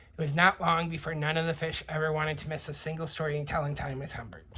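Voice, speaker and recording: A woman puts on a raspy character voice with a very deep, low pitch. She speaks at a very fast pace. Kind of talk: bedtime story reading. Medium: read story. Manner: warm, gentle.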